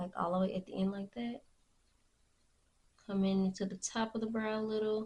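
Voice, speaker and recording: Somewhat breathy and dark, mellow in tone, a woman's medium-pitched voice moves at a moderate pace with monotone, flat intonation. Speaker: beauty vlogger. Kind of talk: tutorial. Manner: halting; casual.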